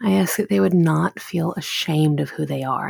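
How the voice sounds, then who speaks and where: Somewhat breathy, a woman speaks with lively intonation at a very deep, low pitch. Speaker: podcast host and mother. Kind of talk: fervent prayer. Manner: earnest, tender, heartfelt; halting, repeating words, soft.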